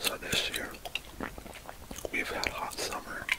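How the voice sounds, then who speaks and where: The man whispers. He goes at a fairly slow pace. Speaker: ASMR creator. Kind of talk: ASMR relaxation talk. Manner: whispered. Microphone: studio mic.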